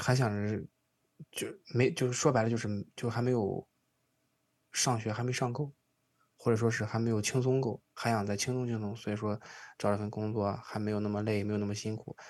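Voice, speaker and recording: The speech moves at a fairly quick pace with long, frequent pauses. The background is quiet. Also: man, medium pitch for a man, fairly even intonation. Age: 20s. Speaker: podcast host. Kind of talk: casual chat.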